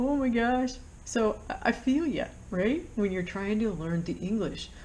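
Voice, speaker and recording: A woman with an American accent, somewhat breathy and medium in pitch, at a moderate pace with audible room echo. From United States. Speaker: flight instructor. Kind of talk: tutorial. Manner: casual, with many fillers.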